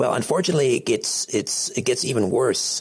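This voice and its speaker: Against a quiet background, a man with a Canadian accent speaks at a moderate pace. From Canada. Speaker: radio host. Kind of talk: radio interview. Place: studio.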